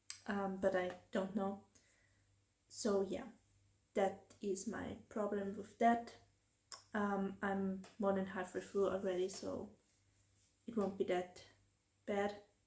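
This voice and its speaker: With a German accent, a woman speaks very slowly in a flat monotone at a medium pitch, somewhat breathy, with long, frequent pauses. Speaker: book vlogger. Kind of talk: casual vlog. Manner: hesitant, many fillers.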